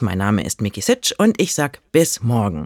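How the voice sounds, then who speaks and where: A man speaks with very wide pitch swings. The sound is dry and close with no echo, on a very clean recording with a silent background. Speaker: poem reader. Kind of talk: poem reading.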